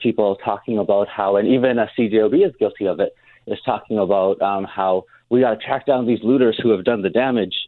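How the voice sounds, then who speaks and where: A man has an unremarkable speaking voice with a fairly low pitch. He talks at a fairly quick pace with fairly even intonation. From Winnipeg North End, Canada. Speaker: community advocate. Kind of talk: radio interview.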